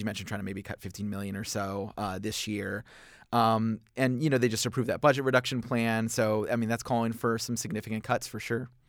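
Here is a man with an unremarkable speaking voice, medium in pitch and fairly even in intonation. He talks at a fairly quick pace in a very clean recording with a silent background. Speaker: education reporter. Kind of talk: news interview.

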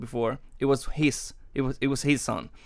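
Over a silent background in a very clean recording, a man speaks with a Spanish accent. His pitch is medium and his pace fairly slow. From Cuba. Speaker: opera singer. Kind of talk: interview. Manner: halting.

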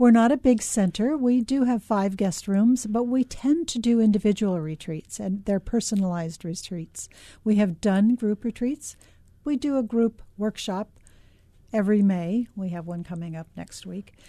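With an American accent, a woman speaks at a moderate pace in a fairly high pitch, her somewhat breathy voice dark and mellow in tone, recorded dry and close with no echo over a quiet background. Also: ordinary pitch variation, big swings in loudness. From US West Coast, Los Angeles. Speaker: oncology nurse, retreat center founder. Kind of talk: radio interview. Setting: radio studio.

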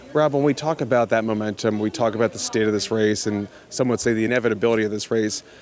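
A medium-pitched male voice at a very fast pace, with hardly any pauses, fairly even intonation, very even loudness and noticeable background noise. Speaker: political radio host. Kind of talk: podcast news analysis. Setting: studio. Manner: casual and jokey.

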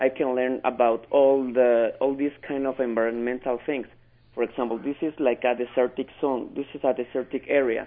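Speaking with a Spanish accent, this man keeps a moderate pace and a medium pitch, his intonation flat and monotone. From Mexico City, Mexico. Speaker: ESL student. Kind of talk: radio interview. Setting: phone call.

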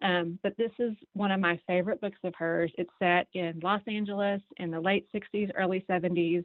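A woman speaks at a medium pitch and a moderate pace in a normal speaking voice. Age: middle-aged. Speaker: book recommender. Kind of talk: casual radio chat.

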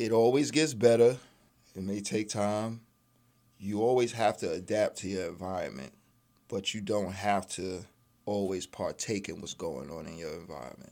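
In a New York accent, a man speaks at a moderate pace with a fairly low pitch and a dark, mellow tone. His intonation is lively, and his loudness swings widely. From Brooklyn, New York. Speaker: father and former addict. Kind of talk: radio interview. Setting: studio.

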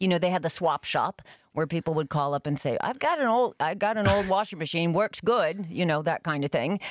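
Recorded very cleanly against a silent background, a woman with a fairly low pitch and an unremarkable speaking voice talks at a fairly quick pace. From US Northeast, Concord, New Hampshire. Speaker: radio host. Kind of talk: casual chat.

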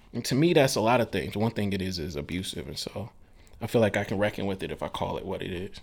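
In a Mississippi accent, this speaker talks at a very fast pace with lively intonation. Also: man, fairly low pitch for a man. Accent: Southern US (Mississippi). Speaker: author. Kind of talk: interview. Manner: halting.

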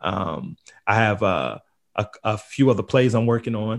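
A man with an American accent speaks in an unremarkable speaking voice, fairly low in pitch with fairly even intonation. The recording is very clean, with a silent background. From Queens, New York. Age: 30s. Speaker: playwright. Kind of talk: interview.

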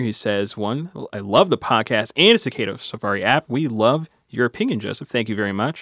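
In a normal speaking voice, a man talks at a fairly quick pace with ordinary pitch variation, on a very clean recording with a silent background and a dry, close sound with no echo. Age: 20s. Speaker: public radio reporter and podcast host. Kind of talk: interview podcast.

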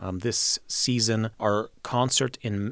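In a plain, everyday voice with an American accent, a man speaks at a fairly low pitch with fairly even intonation, on a very clean recording with a silent background and a dry, close sound with no echo. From Mexico and US, Polish-born. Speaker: orchestra conductor. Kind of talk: interview.

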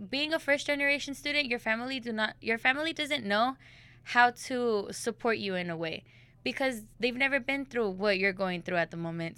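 A woman with an American accent speaks fairly quickly in a fairly high pitch with ordinary pitch variation. Her tone is bright and sharp, and the recording is very clean with a silent background. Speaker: college student.

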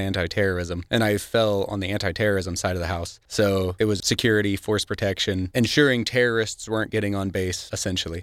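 Over a silent background on a very clean recording, a man with a Missouri accent talks fairly quickly in a fairly low pitch with fairly even intonation. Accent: Midwestern American (Missouri). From Missouri, Cape Girardeau County. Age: 30s. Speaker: student and navy veteran. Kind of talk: radio interview.

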